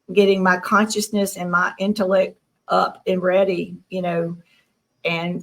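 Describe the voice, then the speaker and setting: At a fairly slow pace, a woman speaks in a flat monotone with a medium pitch. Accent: Southern US. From US South, Tennessee. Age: 60s. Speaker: abduction contactee. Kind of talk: interview.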